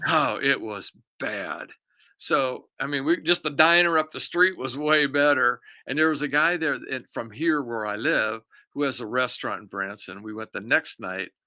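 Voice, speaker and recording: On a very clean recording with a silent background, a man with an American accent speaks at a moderate pace in a fairly high, bright, sharp voice with ordinary pitch variation. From California Central Valley. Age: 70s. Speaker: war veteran. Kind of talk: casual chat. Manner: halting.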